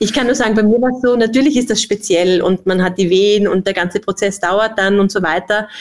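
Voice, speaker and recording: In a plain, everyday voice, a woman speaks at a fairly quick pace with hardly any pauses. Her pitch is medium with ordinary variation, and her loudness is very even. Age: 40s. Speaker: company executive. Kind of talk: podcast interview.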